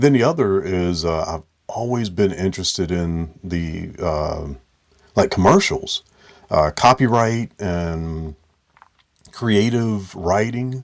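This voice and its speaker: The speaker goes at a very slow pace with long, frequent pauses and lively intonation. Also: man, fairly low pitch for a man. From US Midwest (Dayton, Ohio). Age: 40s. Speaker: artist and educator. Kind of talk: interview answers. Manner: halting, many fillers.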